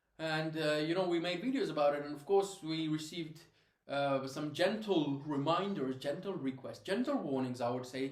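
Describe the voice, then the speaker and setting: Speaking at a fairly quick pace, a man uses a fairly high pitch with ordinary pitch variation. Noticeable background noise and audible room echo fill the recording. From Afghanistan. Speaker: former crypto investor and marketer. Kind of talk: personal testimony. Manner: hesitant, many fillers.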